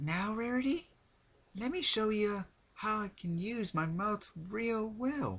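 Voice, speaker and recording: Doing a put-on character voice, a man speaks at a high pitch and a fairly slow pace. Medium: read story. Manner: playful, sinister.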